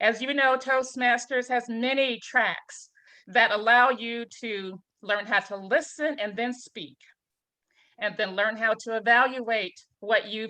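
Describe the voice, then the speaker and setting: Speaking at a fairly slow pace, a woman has a fairly high pitch, a bright, sharp tone and fairly even intonation. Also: quiet background. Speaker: panelist, IT supervisor. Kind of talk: panel talk.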